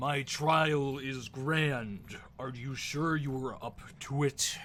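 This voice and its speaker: A booming put-on character voice from a man at medium pitch, very slow in pace, with clear background noise. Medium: actual play. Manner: grand, slow, formal.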